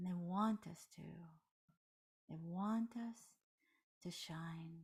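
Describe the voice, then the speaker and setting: A woman speaks very slowly in a fairly low, dark and mellow voice. Her tone is somewhat breathy and her intonation fairly even. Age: 60s. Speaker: meditation teacher. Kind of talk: guided meditation. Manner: soft-spoken.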